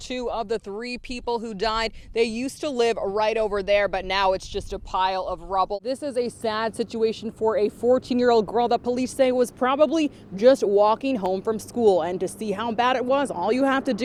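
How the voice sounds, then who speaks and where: A woman talks in an ordinary speaking voice at a fairly high pitch with ordinary pitch variation. Her pace is moderate, with hardly any pauses. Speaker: news reporter. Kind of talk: TV news stand-up.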